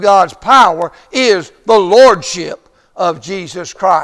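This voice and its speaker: A man speaks at a high pitch with lively intonation. The background is quiet. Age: 70s. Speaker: preacher. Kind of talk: sermon. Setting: church. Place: church.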